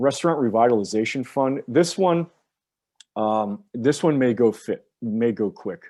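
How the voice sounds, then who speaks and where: This man has an ordinary speaking voice with an American accent and medium pitch. He talks at a fairly slow pace with ordinary pitch variation. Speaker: public finance attorney. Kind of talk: presentation briefing.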